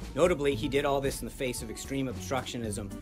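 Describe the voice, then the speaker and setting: Clear music can be heard in the background. Over it, a man talks fairly quickly. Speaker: press spokesperson. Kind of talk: press briefing statement. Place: hall.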